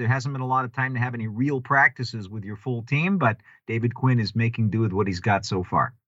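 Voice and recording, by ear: Speaking at a fairly quick pace, a man uses a bright, sharp tone at a medium pitch with ordinary pitch variation.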